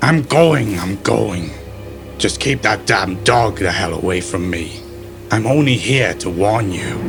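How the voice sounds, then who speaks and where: Clear music plays in the background as a man uses a put-on character voice. He speaks at a fairly slow pace with a fairly low pitch. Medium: read story. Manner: erratic, ranting.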